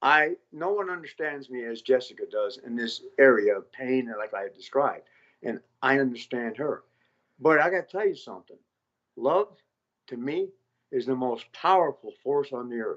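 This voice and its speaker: Using a plain, everyday voice, a man speaks at a moderate pace with a fairly high pitch, lively intonation and big swings in loudness. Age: 60s. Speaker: former prisoner. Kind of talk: casual chat.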